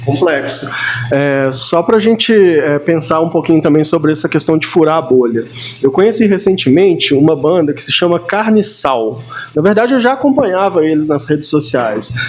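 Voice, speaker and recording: Music plays in the background as a man speaks at a moderate pace, his pitch swinging very widely. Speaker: podcast host. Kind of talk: podcast interview questions.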